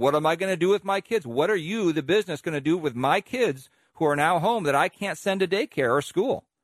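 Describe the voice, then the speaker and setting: In an ordinary speaking voice with an American accent, a man talks at a fairly quick pace and fairly high pitch with lively intonation, the sound dry and close with no echo on a very clean recording with a silent background. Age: 50s. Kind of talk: radio commentary.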